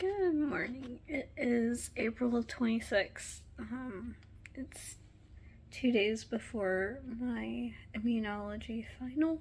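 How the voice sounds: A woman speaks at a slow pace in a slightly mellow tone. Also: fairly high pitch for a woman, ordinary pitch variation.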